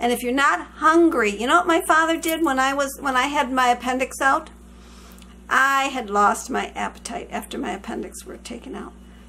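Using a raised, projected voice, a high-pitched woman talks at a moderate pace with ordinary pitch variation and big swings in loudness. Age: 60s. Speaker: vlogger. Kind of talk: casual chat. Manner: chatty, warm.

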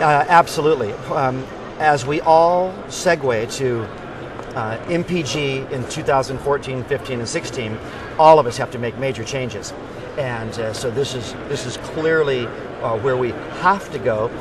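A man talks at a fairly slow pace with ordinary pitch variation. The sound is dry with no echo, and background noise is noticeable. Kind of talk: interview answer. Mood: enthusiastic. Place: hall.

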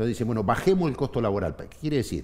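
A man with a Rioplatense accent and very wide pitch swings. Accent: Argentine Spanish (rioplatense). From Argentina, Neuquén province. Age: 50s. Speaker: trade union leader; guest. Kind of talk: interview. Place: studio. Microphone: headset.

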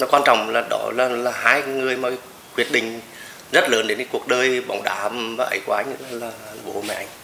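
A man talks at a moderate pace with fairly even intonation and long, frequent pauses. Light background noise and audible room echo surround his voice. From Nghe An, Vietnam. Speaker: football club president, former footballer. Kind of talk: interview answer. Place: home room.

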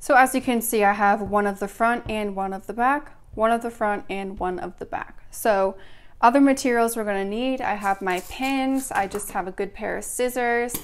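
Ordinary pitch variation from a woman at a moderate pace. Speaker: sewing instructor. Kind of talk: tutorial. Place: home room.

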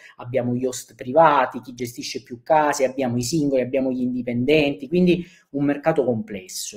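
A man with a southern Italian accent, medium pitch and ordinary pitch variation, against a quiet background. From southern Italy. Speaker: short-term rental business speaker; speaker. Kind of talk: conference talk. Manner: hesitant, many fillers. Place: home room. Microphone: webcam.

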